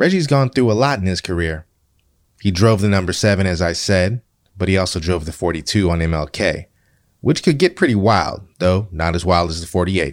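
A man speaks with a very deep, low pitch and ordinary pitch variation at a moderate pace. The recording is very clean, with a silent background. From Seattle, US Pacific Northwest. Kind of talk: scripted narration.

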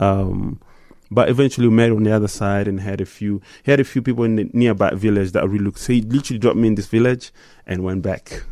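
Over a quiet background, a man talks very fast in a dark, mellow tone, his pitch fairly low and his intonation fairly even. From DR Congo (Goma). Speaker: musician. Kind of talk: interview. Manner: halting, many fillers.

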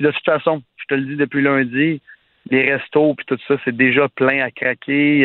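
A man with a plain, everyday voice, fairly high in pitch, at a fairly slow pace. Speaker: nightlife entrepreneur. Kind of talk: casual chat.

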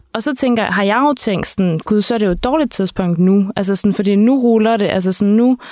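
Over noticeable background noise, a woman speaks at a fairly quick pace and a medium pitch, with very even loudness, ordinary pitch variation and hardly any pauses. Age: 30s. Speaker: podcast host. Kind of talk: interview.

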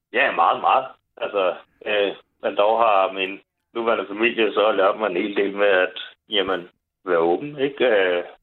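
A man's fairly low voice moves at a fairly slow pace, with long, frequent pauses, very even loudness and fairly even intonation. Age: 40s. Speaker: caller. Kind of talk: casual chat.

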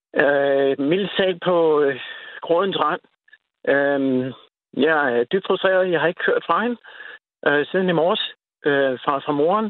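Very slowly and with long, frequent pauses, a man talks at a fairly high pitch, his loudness very even and his pitch varying in an ordinary way. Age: 50s. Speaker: caller, father, ex-soldier. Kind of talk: phone-in interview. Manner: halting, repetitive stammering.

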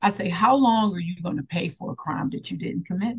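With lively intonation, a woman speaks at a fairly low pitch with vocal fry. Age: 40s. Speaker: therapist and mindset coach. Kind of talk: interview.

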